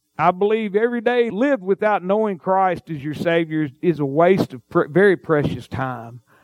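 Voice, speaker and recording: A man with a Mississippi accent and a high pitch speaks at a moderate pace with lively intonation, his voice dry and close with no echo. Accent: Southern US (Mississippi). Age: 50s. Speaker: pastor. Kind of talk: sermon.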